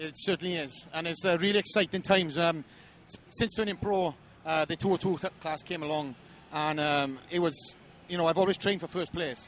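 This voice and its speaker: Speaking at a fairly quick pace with a Welsh accent, a man uses a high pitch and fairly even intonation. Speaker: professional bodybuilder. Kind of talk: interview. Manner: hesitant, many fillers.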